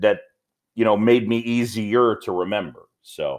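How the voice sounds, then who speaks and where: The speaker talks at a fairly slow pace with a slight New York accent. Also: man. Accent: mild New York. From New York, Roosevelt Island. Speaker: baseball play-by-play announcer. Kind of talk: interview. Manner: laid back.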